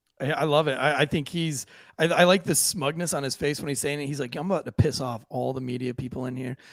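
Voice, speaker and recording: With an American accent and an animated tone, a man talks at a very fast pace in a fairly high pitch. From Florida, St. Augustine area. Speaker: podcast co-host, law enforcement. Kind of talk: casual podcast chat. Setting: live streamed podcast.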